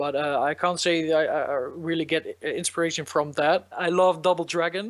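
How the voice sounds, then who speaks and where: A man's high-pitched voice with a Dutch accent, fairly even intonation and a moderate pace. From Netherlands, south near Eindhoven. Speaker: electronic musician. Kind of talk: interview. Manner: hesitant, many fillers.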